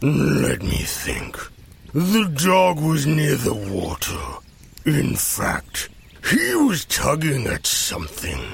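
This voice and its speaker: The speaker uses a put-on character voice at a very slow pace. Light background noise can be heard. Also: man, fairly high pitch for a man. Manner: slow, thoughtful, patient.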